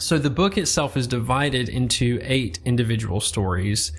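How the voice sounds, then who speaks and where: Using very wide pitch swings, a man with a Southern US accent speaks at a moderate pace in a medium-pitched voice with vocal fry. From US South. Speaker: book podcast host. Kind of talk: book review monologue.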